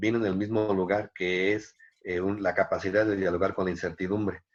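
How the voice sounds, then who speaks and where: Over a quiet background, a man speaks at a moderate pace and fairly low pitch in a monotone, flat intonation. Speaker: dance teacher and researcher. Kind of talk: interview conversation. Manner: halting, many repetitions.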